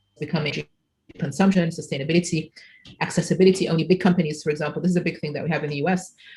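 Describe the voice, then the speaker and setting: Somewhat breathy speech with an Arabic accent and fairly even intonation. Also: woman. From Egypt. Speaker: computational linguistics researcher, keynote speaker. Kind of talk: conference Q&A.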